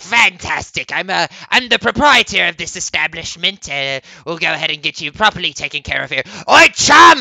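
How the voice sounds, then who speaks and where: The speaker puts on a character voice and keeps to a medium tempo. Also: man, high pitch for a man. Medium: actual play. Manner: friendly, chatty.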